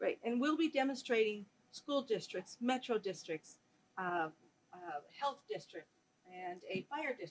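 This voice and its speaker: Fairly high in pitch, this woman's voice swings very widely in pitch and sharply in loudness. She keeps a moderate pace. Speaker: conference chair and moderator, professor. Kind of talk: conference Q&A moderation. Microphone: mic not working, switching mics, echo.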